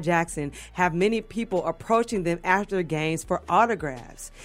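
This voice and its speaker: Here is a plain, everyday voice from a woman, medium in pitch and at a fairly quick pace. The recording is very clean, with a silent background. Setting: radio studio.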